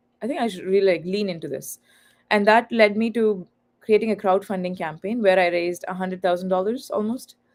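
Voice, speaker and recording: With a Tamil accent, this woman talks fairly quickly at a medium pitch, using ordinary pitch variation. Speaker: author and content creator. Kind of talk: livestream podcast interview. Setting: online live stream.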